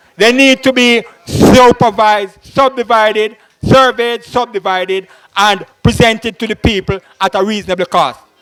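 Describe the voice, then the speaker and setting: A high-pitched man's voice with a Jamaican accent, fairly even intonation and a moderate pace, dry and close with no echo. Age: 60s. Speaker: political candidate. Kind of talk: public political speech.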